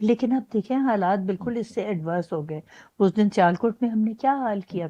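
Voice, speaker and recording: A woman with a dark, mellow tone and ordinary pitch variation, the sound dry and close with no echo against a quiet background. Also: medium pitch for a woman. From Pakistan. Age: 90s. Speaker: retired high court judge. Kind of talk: interview answer.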